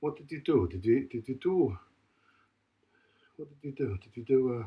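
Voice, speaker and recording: His voice is somewhat breathy, at a medium pitch and a moderate pace. This man uses lively intonation with big swings in loudness. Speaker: fitness vlogger recovering from a stroke. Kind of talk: casual workout vlog talk. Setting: home gym. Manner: halting.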